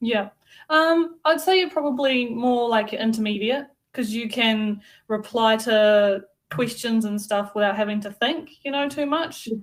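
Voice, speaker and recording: A woman talks in a New Zealand accent, her pitch fairly high. Her intonation is lively. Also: fairly slow pace. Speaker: English tutor. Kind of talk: online lesson conversation.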